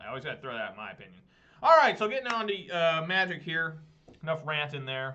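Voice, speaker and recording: Fast and lively, a man talks at a very fast pace with a fairly high pitch. His tone is bright and sharp, and his loudness swings a lot. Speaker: gaming streamer. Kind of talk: gameplay commentary. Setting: live stream. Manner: animated.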